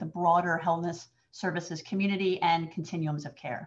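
A woman with a somewhat breathy voice talks at a moderate pace against a quiet background. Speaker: webinar moderator. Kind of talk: webinar introduction. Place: home room. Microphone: webcam.

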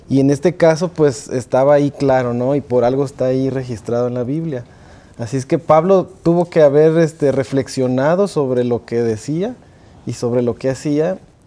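This man has an ordinary speaking voice, pitched in the middle range. He talks at a moderate pace, and his pitch varies in an ordinary way. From Mexico City. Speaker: music teacher. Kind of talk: panel discussion. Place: studio. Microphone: lapel.

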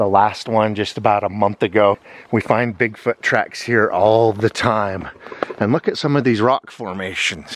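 An ordinary speaking voice comes at a moderate pace with fairly even intonation and very even loudness, in a dry sound with no echo over light background noise. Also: man, fairly low pitch for a man. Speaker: outdoor vlogger. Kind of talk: casual vlog chat. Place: forest. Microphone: phone near.

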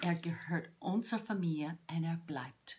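In a somewhat breathy, fairly low voice, a woman speaks very slowly. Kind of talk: devotional talk to camera. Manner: halting. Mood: warm, heartfelt, animated. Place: home room. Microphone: phone near.

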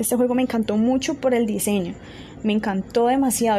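Over noticeable background noise, a woman speaks with a fairly high pitch and a monotone, flat intonation. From Colombia. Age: 20s. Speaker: tech channel host. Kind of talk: casual tutorial talk. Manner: halting, many fillers.

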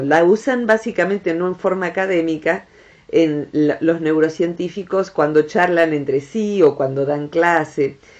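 With an Argentine accent, a woman speaks in a fairly low, warm voice at a fairly slow pace with ordinary pitch variation. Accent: Argentine Rioplatense. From Argentina. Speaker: psychologist, director of a transpersonal psychology center. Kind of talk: radio talk, educational explanation about the brain. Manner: warm, friendly, conversational. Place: studio.

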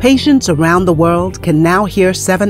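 Very wide pitch swings run through this voice, with music in the background. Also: woman. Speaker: voice actor. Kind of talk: promotional narration.

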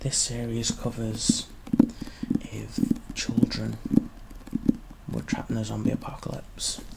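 Fairly slow speech broken by long, frequent pauses, over noticeable background noise. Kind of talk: ASMR librarian roleplay, whispered personal attention. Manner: whispered, soft-spoken, quiet.

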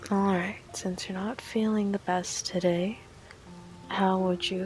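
A woman talks fairly slowly and with fairly even intonation while noticeable background noise plays behind her. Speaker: voice actor. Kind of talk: ASMR roleplay sleep aid, intimate talk to listener. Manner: soft, caring, affectionate.

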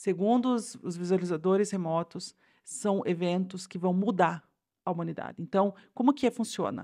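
A woman's dark, mellow voice comes through against a quiet background. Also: medium pitch for a woman, ordinary pitch variation, moderate pace. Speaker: podcast co-host. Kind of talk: casual chat. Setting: home studio. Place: home room. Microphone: new microphone; studio mic.

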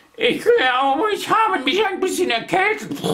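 Using a put-on character voice, a man pushes his pitch extremely high. His pace stays moderate. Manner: hissing.

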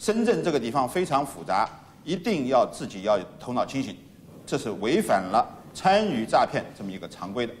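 Over light background noise, a man speaks at a moderate pace with very wide pitch swings and big swings in loudness. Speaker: lawyer. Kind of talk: interview. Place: hall.

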